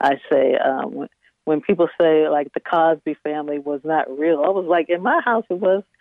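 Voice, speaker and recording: A woman with an American accent and a fairly low pitch speaks in a normal speaking voice. Her pace is moderate, with ordinary pitch variation. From Northern Neck of Virginia. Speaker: software engineer and B&B owner. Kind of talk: interview.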